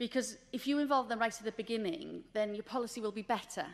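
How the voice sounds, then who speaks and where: Delivered at a very fast pace with ordinary pitch variation, the voice comes with a Welsh accent. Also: woman. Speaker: government official. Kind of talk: conference presentation.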